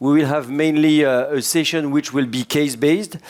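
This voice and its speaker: A man with a French accent speaks at a fairly high pitch and a moderate pace. His pitch varies in an ordinary way. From France. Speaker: cardiologist, session chair. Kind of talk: conference session introduction.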